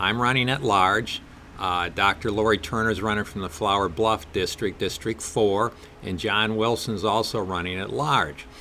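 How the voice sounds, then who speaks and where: Here a man speaks with a Wisconsin accent at a moderate pace. His voice is fairly low in pitch, with a bright, sharp tone. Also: ordinary pitch variation. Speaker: political candidate. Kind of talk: interview.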